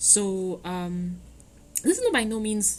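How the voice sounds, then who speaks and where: A somewhat breathy woman's voice with ordinary pitch variation, in audible room echo. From Trinidad. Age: 20s. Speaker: podcast host. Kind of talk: podcast monologue. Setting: home recording. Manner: hesitant, many fillers.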